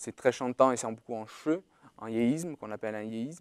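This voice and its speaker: This man's voice sits at a medium pitch with lively intonation, recorded dry and close with no echo, in a very clean recording over a silent background. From Corsica. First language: Portuguese (speaking French). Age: 20s. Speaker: university student. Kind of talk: testimony. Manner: halting.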